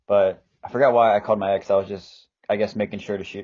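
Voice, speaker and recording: The pace is fairly quick. A man delivers it at a fairly low pitch. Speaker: podcast co-host. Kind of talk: casual chat. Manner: halting.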